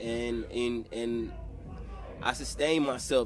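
The intonation stays fairly even, with light background noise behind the voice. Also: man. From Georgia, US South (Columbus). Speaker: rapper. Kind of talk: casual interview chat. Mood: relaxed, joking, candid. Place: home room. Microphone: handheld.

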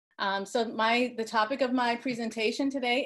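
The voice belongs to a woman. Her pitch variation is ordinary. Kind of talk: lecture. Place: home room. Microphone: video call.

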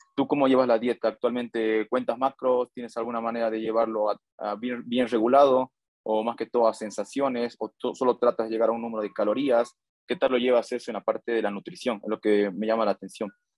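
Against a quiet background, a man with a Bolivian accent talks at a fairly quick pace in monotone, flat intonation, the sound dry with no echo. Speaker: fan asking questions. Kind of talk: interview question. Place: home room. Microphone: video call.

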